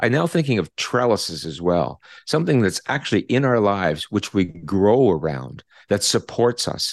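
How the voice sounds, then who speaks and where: A man with a Canadian accent at a fairly low pitch, moderate pace and very wide pitch swings, over a quiet background. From Canada. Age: 60s. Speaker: retired psychology professor. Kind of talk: interview. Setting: video call.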